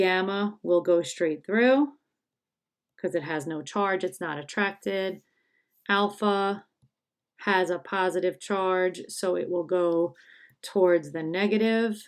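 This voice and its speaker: In a very clean recording with a silent background, a woman with a medium pitch speaks at a very slow pace, with ordinary pitch variation and long, frequent pauses. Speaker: high school chemistry teacher. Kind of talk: tutorial.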